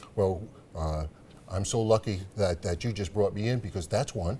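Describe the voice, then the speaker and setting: A somewhat breathy voice with a dark, mellow tone. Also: man. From Rhode Island, Providence. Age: 60s. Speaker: political candidate. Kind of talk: TV interview.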